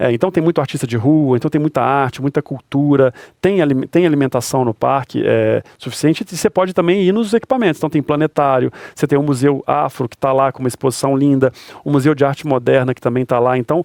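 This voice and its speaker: A man's fairly high voice with a mineiro accent, very fast pace and ordinary pitch variation, in dry, close sound with no echo. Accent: mineiro accent (Belo Horizonte). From Brazil, Belo Horizonte (Minas Gerais). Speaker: stadium and park manager. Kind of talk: interview conversation.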